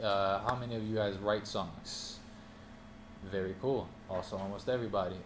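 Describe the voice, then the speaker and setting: Amid audible room echo, a man talks at a moderate pace in a fairly low pitch with monotone, flat intonation. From Norway. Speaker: music producer and artist teaching a class. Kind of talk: master class talk to small audience. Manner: casual, many filler ums.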